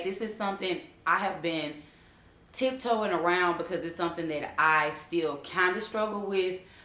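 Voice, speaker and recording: There is audible room echo around a woman speaking at a moderate pace and medium pitch. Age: 30s. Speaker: YouTuber. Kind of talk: casual vlog chat. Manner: animated.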